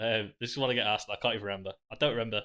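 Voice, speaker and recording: In a Yorkshire accent, a man talks at a very fast pace with a medium pitch. His tone is bright and sharp, and his intonation is fairly even. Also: quiet background. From northern England, Sheffield. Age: 20s. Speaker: live streamer, pub manager. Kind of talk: casual live stream chat. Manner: casual, sweary.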